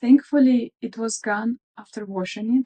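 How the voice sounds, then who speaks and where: The voice has a dark, mellow tone and a Russian accent. The sound is dry and close, with no echo. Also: woman. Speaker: craft vlogger. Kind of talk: casual show-and-tell vlog. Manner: hesitant, with fillers.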